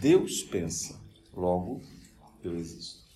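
The man's delivery is very slow. The room's echo can be heard. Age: 50s. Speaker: spiritist lecturer. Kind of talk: lecture. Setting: spiritist center.

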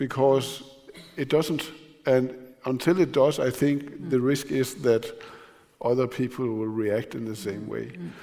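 The speaker, with a Danish accent, goes at a fairly slow pace with long, frequent pauses. Loudness swings widely. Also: man, medium pitch for a man, ordinary pitch variation. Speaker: newspaper editor and moderator. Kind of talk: public conversation. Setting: stage with audience.

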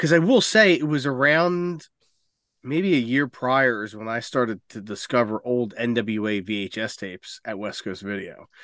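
In an unremarkable speaking voice, a man talks fairly slowly at a medium pitch, with lively intonation, big swings in loudness and a quiet background. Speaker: wrestling podcast co-host. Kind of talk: casual chat.

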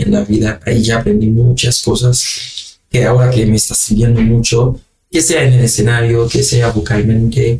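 At a moderate pace, a man talks at a medium pitch with fairly even intonation and very even loudness. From Haiti. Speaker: singer-songwriter. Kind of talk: interview. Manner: halting.

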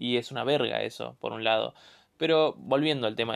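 A man with an Argentine accent speaks at a moderate pace. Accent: Rioplatense Argentine Spanish. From Buenos Aires southern suburbs, Argentina. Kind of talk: casual monologue. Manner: halting.

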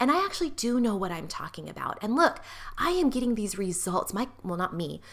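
A woman with fairly high pitch and a warm tone talks at a fairly quick pace with very wide pitch swings over noticeable background noise. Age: 40s. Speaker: pelvic health physical therapist and podcast host. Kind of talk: solo podcast monologue. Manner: warm, conversational, laughs often.

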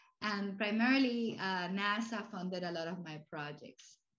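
Her accent is Spanish. The woman's voice rests at a medium pitch. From Cuba and Puerto Rico. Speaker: university president. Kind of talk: casual interview.

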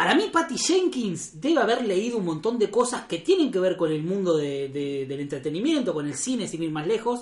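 The speaker has a Rioplatense accent and a moderate pace. Hardly any pauses break up the speech. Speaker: recurring podcast guest. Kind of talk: casual chat.

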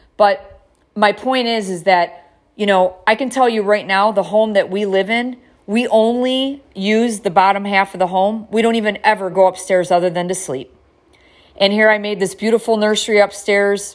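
A woman with an ordinary speaking voice, medium in pitch, at a moderate pace with fairly even intonation. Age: 50s. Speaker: podcast host. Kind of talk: personal monologue.

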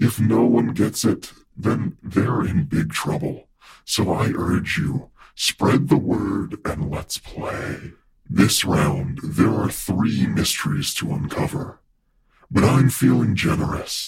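A raspy, fairly low male voice at a fairly slow pace. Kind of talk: smooth game-show host address. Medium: audio drama. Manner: calm, genteel, quietly menacing.

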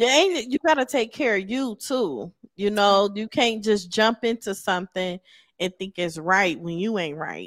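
On a very clean recording with a silent background, a woman of medium pitch speaks at a fairly slow pace. Hers is an unremarkable speaking voice with lively intonation. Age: 40s. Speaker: podcast host. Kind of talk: interview. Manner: laughs often.

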